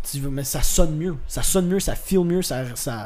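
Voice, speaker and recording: A man's high voice at a moderate pace with ordinary pitch variation, noticeable background noise and audible room echo. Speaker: actor, musician and comedian. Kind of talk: casual chat.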